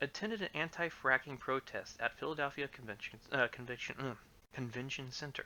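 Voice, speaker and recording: A quiet man at a moderate pace. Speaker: livestreamer reading case law. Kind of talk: reading aloud. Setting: livestream. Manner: halting. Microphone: complaints it is too quiet, mic amplified.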